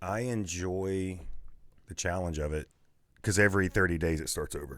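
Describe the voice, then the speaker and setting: This speaker has a West Virginia accent. The pace is moderate. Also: man, very deep, low pitch for a man, ordinary pitch variation, very clean recording, silent background. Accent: Appalachian West Virginia. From Man, West Virginia. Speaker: podcast host, salesman. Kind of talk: casual podcast interview answer.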